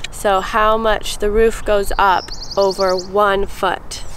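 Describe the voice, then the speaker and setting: A woman's monotone, flat delivery with light background noise. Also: dry sound with no echo. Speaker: presenter. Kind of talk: tutorial. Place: open country.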